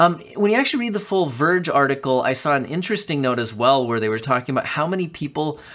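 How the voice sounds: Delivered at a fast pace, the speech has lively intonation and a fairly bright tone. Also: man, fairly high pitch for a man.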